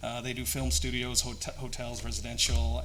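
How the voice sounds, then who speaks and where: A man with a North American accent speaks at a fairly quick pace. Audible room echo surrounds his voice. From Singapore (American school), Canadian-born to Vietnamese parents. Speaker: company founder. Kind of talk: conference presentation. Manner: hesitant, many fillers; hurried.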